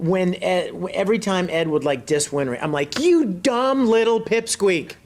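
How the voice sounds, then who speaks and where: A man with an American accent speaks at a fairly slow pace and high pitch, with very wide pitch swings. Noticeable background noise is present. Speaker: voice actor. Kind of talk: interview answer. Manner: upbeat, playful.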